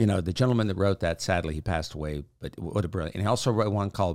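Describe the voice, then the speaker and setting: A man's plain, everyday voice, fairly low in pitch with lively intonation, on a very clean recording with a silent background. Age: 60s. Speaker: podcast host. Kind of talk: casual monologue.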